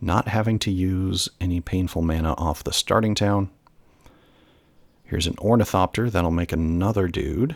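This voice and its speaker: The recording has a dry, close sound with no echo. A man with a very deep, low pitch and ordinary pitch variation speaks at a moderate pace. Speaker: gameplay commentator. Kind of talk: live commentary.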